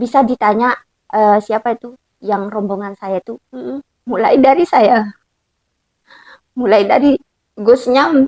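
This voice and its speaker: In a Lombok accent, a woman speaks at a very slow pace with lively intonation. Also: dry, close sound with no echo. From Lombok, Indonesia. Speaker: Quran recitation teacher. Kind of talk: interview answer.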